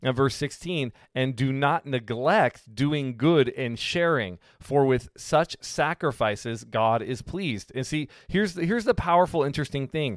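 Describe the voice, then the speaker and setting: A man with a plain, everyday voice speaks at a fairly slow pace with hardly any pauses. His pitch is fairly high, his intonation lively, and the sound dry and close with no echo. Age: 40s. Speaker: pastor. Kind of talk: bible teaching. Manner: casual, with fillers and repetitions.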